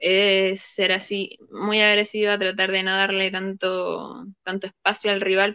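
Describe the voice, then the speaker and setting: Speaking in a Chilean accent, a woman keeps her medium-pitched voice in a flat monotone at a fairly slow pace. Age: 20s. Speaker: video game player. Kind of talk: interview.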